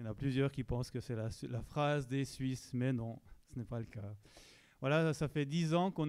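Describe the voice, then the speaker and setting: Over a very clean recording with a silent background, a man with a slight Swiss French accent speaks at medium pitch in a dark, mellow tone with ordinary pitch variation. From Switzerland. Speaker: pastor. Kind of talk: church announcements.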